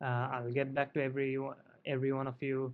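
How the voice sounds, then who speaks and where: The speaker is a man with a medium pitch. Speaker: statistics tutor. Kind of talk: lecture. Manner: fast; halting.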